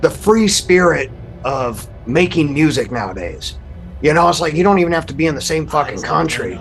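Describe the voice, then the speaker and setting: A man's fairly high-pitched voice with lively intonation at a moderate pace, with music in the background. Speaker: podcast guest discussing music. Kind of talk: casual chat. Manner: mumbling; quiet.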